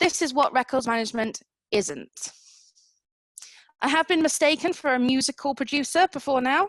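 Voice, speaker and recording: In a dry, close recording with no echo, a woman with a high pitch talks with lively intonation, very even loudness, and long, frequent pauses. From England, Lincoln. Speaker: records management consultant. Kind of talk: online seminar talk.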